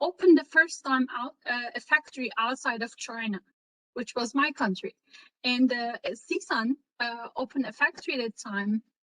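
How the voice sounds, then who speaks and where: A woman speaks with a Turkish accent at a moderate pace, her pitch high and her tone bright and sharp. The sound is dry and close, with no echo. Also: ordinary pitch variation. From Turkey. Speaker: renewable energy entrepreneur. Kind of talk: career talk in online session. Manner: halting, many fillers.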